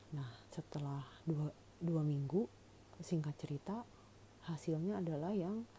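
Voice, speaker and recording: A woman speaks at a fairly slow pace with a very deep, low pitch and ordinary pitch variation. Her tone is dark and mellow, and somewhat breathy. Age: 40s. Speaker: cancer patient vlogger. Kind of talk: personal testimony. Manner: casual, conversational with fillers.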